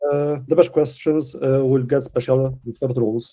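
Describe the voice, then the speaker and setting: The speaker talks with a Polish accent. Delivery is fairly slow. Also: man. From Poland. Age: 20s. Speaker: community manager. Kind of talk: livestream presentation. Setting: livestream. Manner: hesitant, many fillers.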